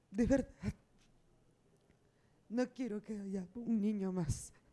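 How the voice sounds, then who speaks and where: This woman speaks at a very slow pace. Her tone is dark and mellow. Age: 50s. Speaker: abuse survivor, audience member. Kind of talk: testimony. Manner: emotional, halting.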